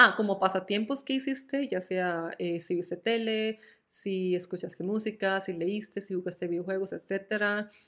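On a very clean recording with a silent background, a woman talks in an ordinary speaking voice. Her pace is fairly slow, her pitch medium, and her intonation fairly even. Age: 20s. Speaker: podcast host. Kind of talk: casual solo chat. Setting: at home.

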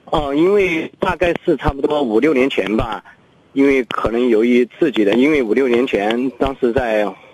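Noticeable background noise sits under a dry, close sound with no echo. A man speaks at a moderate pace with ordinary pitch variation. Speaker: caller. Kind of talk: phone-in call. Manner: halting.

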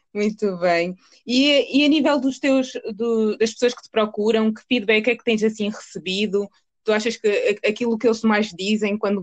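An ordinary speaking voice from a woman, fairly high in pitch with ordinary pitch variation, comes at a moderate pace in a dry, close sound with no echo. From Portugal. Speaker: podcast host. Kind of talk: interview.

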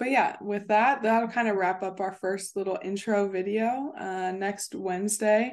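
A woman with an American accent talks at a fairly slow pace with hardly any pauses. Her pitch is medium and her intonation fairly even, against a quiet background. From US Midwest, Cincinnati, Ohio. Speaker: podcast host and volleyball player. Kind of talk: casual solo podcast intro.

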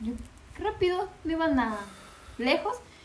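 A woman talks fairly slowly with lively intonation while noticeable background noise continues behind her. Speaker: podcast guest. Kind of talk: casual chat.

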